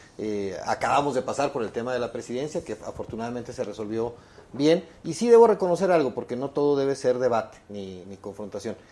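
This man has a dark, mellow tone and medium pitch, speaking at a fairly quick pace. His intonation is lively, with big swings in loudness. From Chihuahua, Mexico. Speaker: politician. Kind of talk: political debate.

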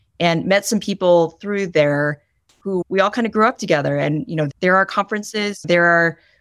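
A woman with a plain, everyday voice talks at a fairly quick pace, pitched fairly low with ordinary pitch variation. The very clean recording has a silent background and a dry, close sound with no echo. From Michigan, US Midwest. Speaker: corporate employment lawyer. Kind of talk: casual interview conversation.

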